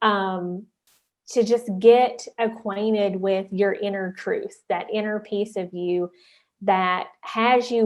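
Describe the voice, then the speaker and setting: In a Southern West Virginia accent, the speaker talks at a very slow pace with monotone, flat intonation. The background is quiet. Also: woman. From US South, southern West Virginia. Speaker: life coach and entrepreneur. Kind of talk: conference talk.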